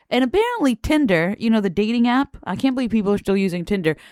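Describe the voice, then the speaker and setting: A woman speaks in an animated tone at a fairly high pitch with very wide pitch swings. The sound is dry and close, with no echo. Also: very clean recording, silent background. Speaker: news commentary podcast host. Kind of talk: casual news commentary to camera. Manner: casual, profane, animated.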